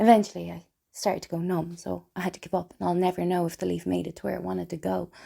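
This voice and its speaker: The very clean recording, its background silent, captures a woman talking at a very fast pace. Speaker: theatre performer. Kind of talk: spoken word theatre monologue.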